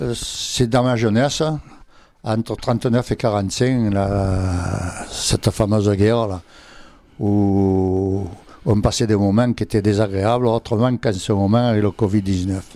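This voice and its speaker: A man talks at a very slow pace in a dark, mellow tone with a fairly low pitch and fairly even intonation. The recording is very clean, with a silent background. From Provence, southern France (Berre-l'Étang). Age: 80s+. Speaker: retired draughtsman and local artist. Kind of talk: radio interview.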